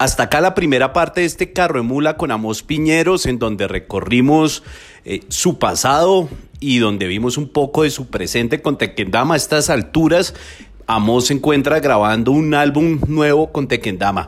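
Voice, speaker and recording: This man has an unremarkable speaking voice with a fairly high pitch. He moves at a moderate pace with lively intonation. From Colombia, Bogotá. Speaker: podcast host. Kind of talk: scripted narration.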